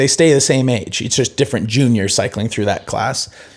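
A man speaks in a plain, everyday voice at a moderate pace with ordinary pitch variation. The recording is very clean with a silent background. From US Pacific Northwest (Seattle, then Idaho and Bend, Oregon). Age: 30s. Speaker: retired pro cross-country skier. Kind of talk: casual interview. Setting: in person, recorded.

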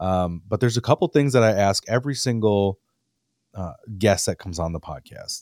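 A man with an Upper Midwest accent talks at a fairly quick pace in a fairly low pitch, his intonation lively. The very clean recording has a silent background and a dry, close sound with no echo. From Wisconsin. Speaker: podcast host. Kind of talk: casual interview.

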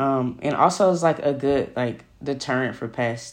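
Fairly slow delivery in an American accent. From Oakland, California. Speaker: farmer and community organizer. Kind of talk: casual interview conversation.

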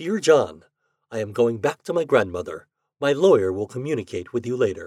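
Quiet surroundings behind a natural reading voice

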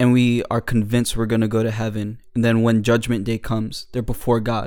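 A man speaks at a moderate pace with monotone, flat intonation. His pitch is medium, and his tone is dark and mellow. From New Jersey. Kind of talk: casual chat about faith.

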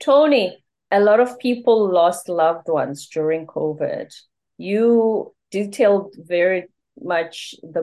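Her tone dark and mellow, a woman with a Zulu accent speaks with ordinary pitch variation. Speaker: podcast host. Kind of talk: interview.

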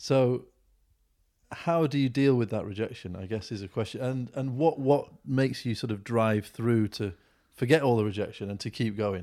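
On a very clean recording with a silent background, a man uses an ordinary speaking voice at a medium pitch and moderate pace with ordinary pitch variation. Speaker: podcast host. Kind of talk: casual interview.

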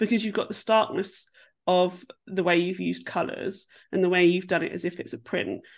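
A woman with vocal fry speaks using ordinary pitch variation. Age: 40s. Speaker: podcast co-host. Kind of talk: casual chat. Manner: animated.

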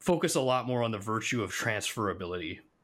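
With an American accent, a man speaks at a medium pitch and a fairly quick pace, his bright, sharp tone carrying lively intonation on a very clean recording with a silent background. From United States. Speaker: podcast co-host, IT consultant. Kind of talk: casual chat.

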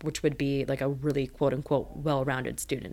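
With a western Canadian accent, a woman speaks at a moderate pace in a very deep, low, monotone, flat voice on a very clean recording with a silent background. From Richmond, British Columbia, Canada. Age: 30s. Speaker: media company co-founder and producer. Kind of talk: interview. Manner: casual, filler-heavy.

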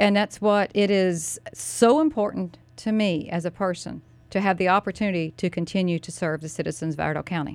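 A woman with a North Carolina accent talks at a fairly quick pace with hardly any pauses. Her medium pitch shows ordinary variation. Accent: Southern US (North Carolina). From US South, North Carolina (Mooresville). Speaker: county commissioner and political candidate. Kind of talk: radio interview, casual banter. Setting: radio studio.

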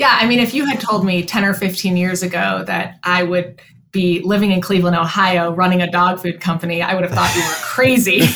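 An American accent comes through at a fairly quick pace with ordinary pitch variation. Noticeable background noise and audible room echo fill the recording. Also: woman, medium pitch for a woman, hardly any pauses. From Chicago. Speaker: veterinarian and company co-founder. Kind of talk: interview.

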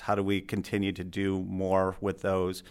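The recording is very clean, with a silent background. A man with an Upper Midwest accent speaks at a fairly low pitch. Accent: Upper Midwest American. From Michigan, Alpena. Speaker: university sustainability director. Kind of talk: interview. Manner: hesitant, many filler words.

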